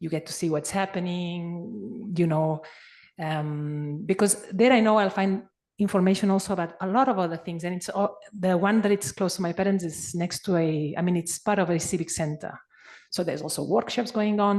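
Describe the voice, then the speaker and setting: A woman with a Spanish accent, fairly quick pace and ordinary pitch variation. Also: quiet background. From Spain. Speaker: conference participant. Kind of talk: discussion comment. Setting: conference. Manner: halting.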